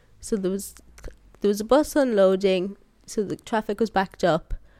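The woman's voice has a dark, mellow tone and fairly even intonation, on a very clean recording with a silent background and a dry, close sound with no echo. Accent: Irish. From Ireland, County Sligo. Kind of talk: interview. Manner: passionate.

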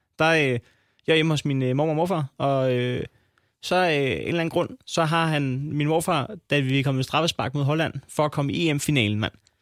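Heard on a very clean recording with a silent background, a plain, everyday voice moves at a moderate pace with ordinary pitch variation and a dry, close sound with no echo. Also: man. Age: 30s. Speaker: comedian and podcaster. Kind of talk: casual chat.

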